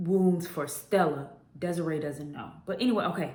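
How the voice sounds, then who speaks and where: With an animated tone and ordinary pitch variation, a woman speaks amid audible room echo. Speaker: book reviewer. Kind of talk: casual book review vlog.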